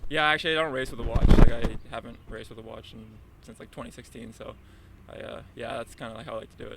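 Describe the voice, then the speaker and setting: Very fast male speech in a Canadian accent, with big swings in loudness and noticeable background noise. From Southern Ontario. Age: 30s. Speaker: marathon runner. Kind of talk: interview. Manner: casual, hesitant with fillers.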